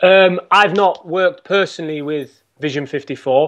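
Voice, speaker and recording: A man with an English accent, ordinary pitch variation and a quiet background. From England. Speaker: golf coach. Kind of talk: interview. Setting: podcast.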